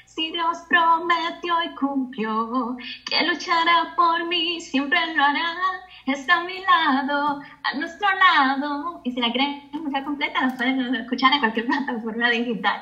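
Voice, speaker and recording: The speech comes at a fairly slow pace with ordinary pitch variation. There is audible room echo and noticeable background noise. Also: woman, high pitch for a woman. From Cuba. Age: 30s. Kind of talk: testimony.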